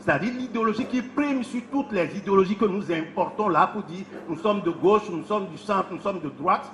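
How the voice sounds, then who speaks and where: Noticeable background noise sits behind a man with a high pitch and lively intonation. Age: 70s. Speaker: professor. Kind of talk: public speech.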